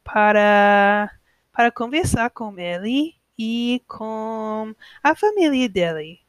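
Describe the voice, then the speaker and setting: On a very clean recording with a silent background and a dry, close sound with no echo, a woman with an American accent speaks in a fairly high voice with lively intonation. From United States. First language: English (speaking Portuguese). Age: 20s. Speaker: podcaster learning Portuguese. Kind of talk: language-learner monologue. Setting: at home alone. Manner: halting.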